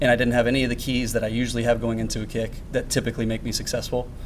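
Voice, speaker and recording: Against noticeable background noise, a man with a medium pitch talks at a very fast pace. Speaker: football kicker. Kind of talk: post-game interview. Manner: thoughtful, hesitant with fillers.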